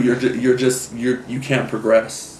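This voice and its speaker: A man with a medium pitch talks at a fairly slow pace. There is audible room echo along with noticeable background noise. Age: 20s. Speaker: photographer. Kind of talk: interview testimony. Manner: halting, many fillers.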